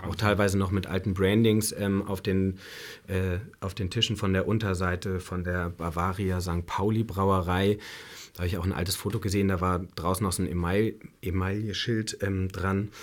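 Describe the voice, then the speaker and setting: The recording is very clean, with a silent background. A man speaks in a very deep, low pitch with monotone, flat intonation. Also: moderate pace. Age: 30s. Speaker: bar and restaurant owner. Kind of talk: interview. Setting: studio.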